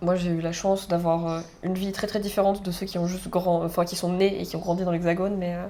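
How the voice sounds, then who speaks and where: A woman talks at a very fast pace in a monotone, flat intonation. Noticeable background noise and audible room echo surround her voice. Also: fairly low pitch for a woman. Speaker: podcast host, student. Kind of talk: casual chat.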